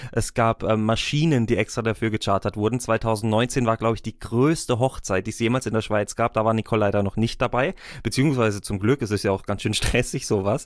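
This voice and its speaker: A man with a plain, everyday voice and medium pitch talks fairly quickly with hardly any pauses and ordinary pitch variation. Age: 20s. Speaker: wedding officiant and podcast host. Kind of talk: casual interview.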